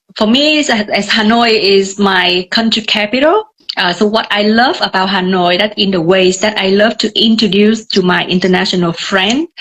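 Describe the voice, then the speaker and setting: A woman with a Vietnamese accent speaks at medium pitch, at a moderate pace, with hardly any pauses. Her pitch variation is ordinary and her loudness very even. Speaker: tour guide. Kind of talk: live video chat. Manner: hesitant, many fillers.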